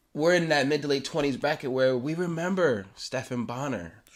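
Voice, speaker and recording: A man speaks at a moderate pace in a fairly high pitch, his tone animated and his intonation lively, on a very clean recording with a silent background. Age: 20s. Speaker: podcast co-host. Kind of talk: casual chat.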